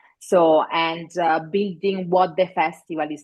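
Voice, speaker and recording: A woman speaks with an Italian accent. Her pace is fairly slow. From Italy. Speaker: festival director. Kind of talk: interview. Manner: halting with fillers.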